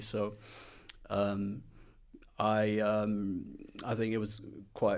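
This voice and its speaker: A man with an English accent speaks at a fairly low pitch. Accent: English accent, noticeable. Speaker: music blogger and record collector. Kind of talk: interview. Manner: halting, many fillers.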